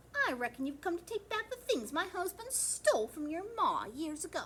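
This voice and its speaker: A woman puts on a character voice at an extremely high pitch, with very wide pitch swings. She keeps a moderate pace, and clear background noise can be heard. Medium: read story. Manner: warm, motherly.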